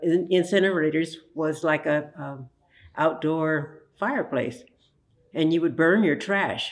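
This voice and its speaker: A woman talks at a fairly slow pace with an American accent. Hers is a plain, everyday voice with a fairly low pitch. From United States, Santa Monica, California. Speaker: oral history interviewee, museum research center co-founder. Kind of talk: oral history interview answer.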